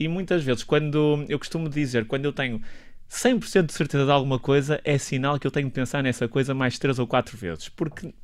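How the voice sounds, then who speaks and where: In a very clean recording with a silent background, a man uses a plain, everyday voice at a fairly high pitch. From northern Portugal. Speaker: doctor and health policy professor. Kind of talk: radio interview. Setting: radio studio.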